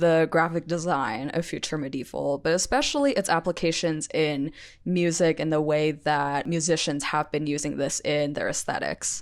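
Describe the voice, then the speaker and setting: Her pitch is very deep and low for a woman. She keeps a moderate pace with ordinary pitch variation. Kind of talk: casual commentary video. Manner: some stuttering.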